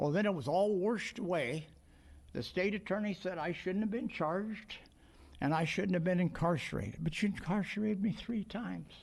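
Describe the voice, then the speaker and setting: A man speaks at a fairly quick pace. His voice is high in pitch. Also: ordinary pitch variation. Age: 70s. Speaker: elderly war veteran. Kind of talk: testimony at public hearing.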